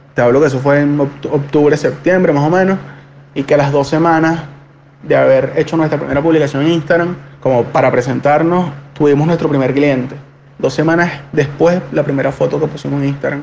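A man speaks fairly quickly at a fairly high pitch, monotone and flat in intonation, with very even loudness and noticeable background noise. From Venezuela, Caracas. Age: 20s. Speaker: bank employee and student. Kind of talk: interview testimony.

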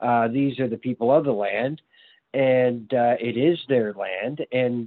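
A man speaks in a plain, everyday voice at a medium pitch. His pace is fairly slow, with ordinary pitch variation. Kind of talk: casual interview conversation.

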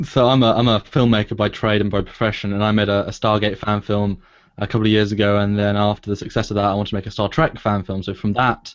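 A man with a British accent talks very fast at a fairly low pitch. His intonation is monotone and flat, over a quiet background. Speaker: filmmaker. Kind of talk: casual chat.

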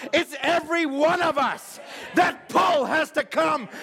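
In a raised, projected voice, a man speaks at a fairly slow pace with an extremely high pitch. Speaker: pastor. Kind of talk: sermon. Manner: loud; animated.

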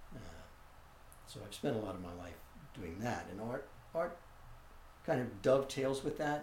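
With an American accent and a somewhat breathy voice, the speaker moves at a moderate pace through very wide pitch swings, big swings in loudness and long, frequent pauses, with room echo audible. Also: man, medium pitch for a man. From New York City (Manhattan). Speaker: visual artist. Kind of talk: interview. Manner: halting.

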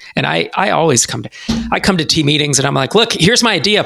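Lively intonation and vocal fry run through a man's bright, sharp tone. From US West Coast (San Francisco Bay Area). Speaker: startup investor and accelerator founder. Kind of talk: podcast interview.

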